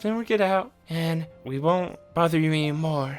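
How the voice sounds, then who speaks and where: A man does a put-on character voice at a high pitch and a moderate pace. Faint music can be heard behind him. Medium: actual play. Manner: nervous, stammering.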